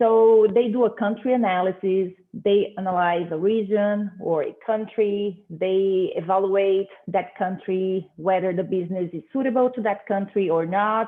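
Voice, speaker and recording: Hardly pausing, a woman with a medium pitch speaks at a fairly slow pace with fairly even intonation. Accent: Portuguese. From Brazil. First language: Portuguese. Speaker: business professor. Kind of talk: conference presentation. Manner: hesitant, many fillers.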